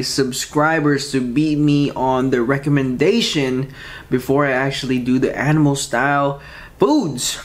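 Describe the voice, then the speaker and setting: A man speaks with fairly even intonation. His loudness stays very even. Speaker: food vlogger. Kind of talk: casual eating vlog chat. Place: home room.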